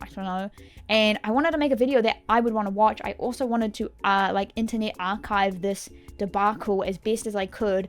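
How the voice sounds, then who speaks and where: A woman's fairly high, animated voice in a New Zealand accent at a fairly quick pace. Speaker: gaming YouTuber. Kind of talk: casual chat. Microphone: mic issues.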